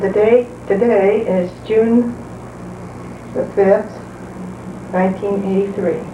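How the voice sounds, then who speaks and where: A woman with an American accent at medium pitch, very slow pace, long, frequent pauses and monotone, flat intonation, amid noticeable background noise and audible room echo. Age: 70s. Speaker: retired wife narrating home movies. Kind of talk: casual chat.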